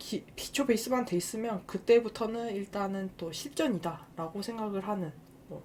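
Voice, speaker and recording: Her pitch medium, a woman talks with lively intonation. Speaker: game youtuber. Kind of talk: casual monologue to viewers. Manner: hesitant, many fillers.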